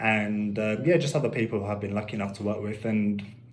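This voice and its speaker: A man with a fairly low pitch and a somewhat breathy voice talks at a fairly quick pace amid audible room echo. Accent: London. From London, Finsbury Park. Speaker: musician. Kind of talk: radio interview. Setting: radio studio.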